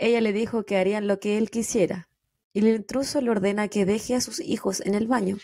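Over a quiet background, a woman with a Chilean accent talks at a fairly quick pace in a fairly high, dark and mellow voice with ordinary pitch variation. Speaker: true crime podcast host. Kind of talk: casual chat; true crime storytelling narration. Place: home room. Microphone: studio mic.

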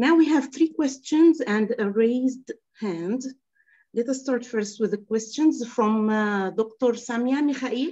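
At a fairly slow pace, a woman speaks in a high pitch with ordinary pitch variation. Her tone is dark and mellow. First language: Arabic. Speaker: workshop moderator. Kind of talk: formal moderation. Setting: video call. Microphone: video call.

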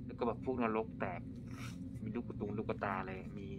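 A man speaks over noticeable background noise. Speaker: game streamer. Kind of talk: casual gameplay commentary. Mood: excited, pleased.

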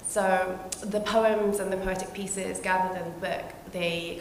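A woman is heard in audible room echo. Light background noise sits behind her. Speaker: guest. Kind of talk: panel introduction talk. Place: hall.

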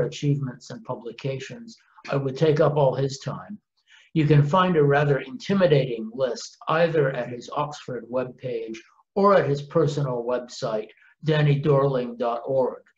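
Somewhat breathy and fairly high in pitch, a man speaks over a quiet background. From Canada. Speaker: professor. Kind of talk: recorded introduction. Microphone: webcam.

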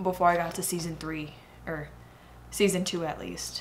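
The woman speaks at a moderate pace. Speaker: reaction vlogger. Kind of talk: casual reaction commentary. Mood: emotional, excited. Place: home room.

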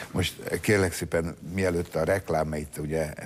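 A man's very deep, low voice at a moderate pace with fairly even intonation. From Hungary. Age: 70s. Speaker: talk show host. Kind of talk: interview. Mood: jovial, laughing. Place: studio. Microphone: lapel.

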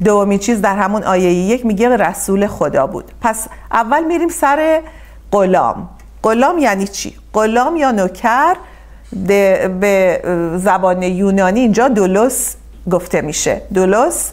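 Lively intonation marks this woman's speech at a moderate pace. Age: 50s. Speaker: Bible teacher. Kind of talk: Bible study lecture. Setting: church class streamed live. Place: home room. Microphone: lapel.

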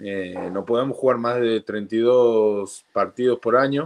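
Very slow speech in an Argentine accent, with ordinary pitch variation and a quiet background. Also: man. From Argentina. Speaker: professional rugby player; guest. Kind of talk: casual chat. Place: home room. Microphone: video call.

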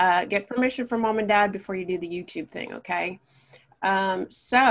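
Against a quiet background, a woman talks at a moderate pace with ordinary pitch variation. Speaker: art teacher. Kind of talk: tutorial.

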